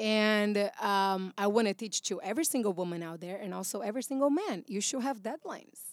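A woman in a Brazilian accent talks at a fairly quick pace, with a medium pitch and lively intonation, on a very clean recording with a silent background. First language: Portuguese. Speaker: actress and voiceover artist. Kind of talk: casual chat. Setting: studio.

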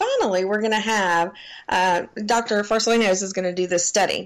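Speaking in a Southern US accent, a woman shows ordinary pitch variation. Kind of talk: casual chat.

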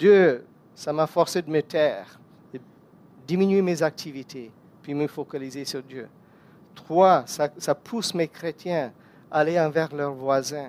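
Speaking at a very slow pace, a man leaves long, frequent pauses, and his loudness swings widely. His pitch is fairly high with ordinary variation, and the sound is dry and close with no echo. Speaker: guest preacher. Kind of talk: sermon.

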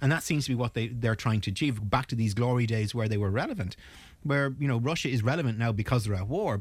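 Speaking at a very fast pace, a man with an Irish accent sounds somewhat breathy. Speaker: naval architect and mediator. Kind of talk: panel discussion. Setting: studio.

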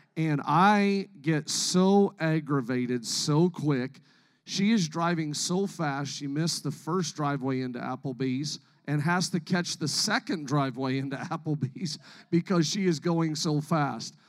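A man talks at a fairly slow pace in a fairly high pitch with ordinary pitch variation and an unremarkable speaking voice. The recording is very clean, with a silent background. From Canada. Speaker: pastor. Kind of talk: sermon. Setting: church stage with congregation.

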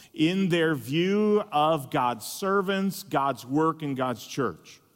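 In a very clean recording with a silent background, a man uses a plain, everyday voice at a fairly high pitch with ordinary pitch variation. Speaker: pastor and conference speaker. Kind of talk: sermon. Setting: conference stage with audience.

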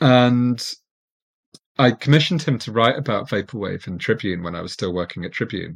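In a very clean recording with a silent background, a man with an unremarkable speaking voice talks fairly quickly at a medium pitch, with lively intonation and big swings in loudness. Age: 40s. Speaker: architectural historian and writer. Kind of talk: casual interview conversation.

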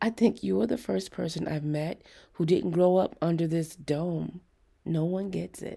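A woman puts on a character voice, fairly low in pitch with a dark, mellow tone and a slightly husky edge. Her intonation stays fairly even, and vocal fry creeps in. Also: fairly slow pace, very clean recording, silent background.

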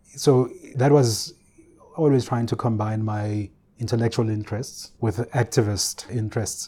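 Speaking at a moderate pace, a man has a somewhat breathy, dark and mellow tone, a medium pitch and fairly even intonation. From South Africa, KwaZulu-Natal (Ulundi). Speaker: research institute director, academic. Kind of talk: interview.

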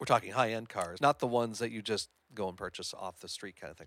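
Man with an ordinary speaking voice, medium pitch and lively intonation at a fairly quick pace, in a dry, close sound with no echo. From Hamilton, Ontario, Canada. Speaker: podcast business owner, former radio host. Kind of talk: casual interview conversation.

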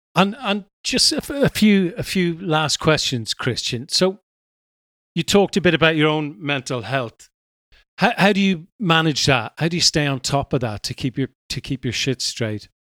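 Speaking with an Irish accent at a moderate pace, a man uses a fairly high pitch with very wide pitch swings, in a dry, close sound with no echo. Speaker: podcast host. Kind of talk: interview. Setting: remote call.

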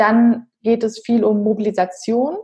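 Fairly high pitch from a woman, somewhat breathy in sound. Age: 30s. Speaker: physiotherapist and health coach. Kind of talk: casual interview.

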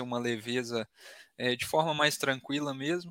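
Recorded very cleanly against a silent background, a man talks at a moderate pace and medium pitch in a bright, sharp tone. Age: 20s. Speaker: sales business partner. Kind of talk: interview.

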